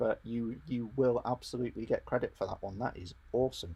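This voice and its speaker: This man's voice sits at a medium pitch. Behind him, the background stays quiet. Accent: English. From England. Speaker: RC hobby YouTuber. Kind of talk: live stream workshop chat. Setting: home garage. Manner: casual, hesitant with fillers.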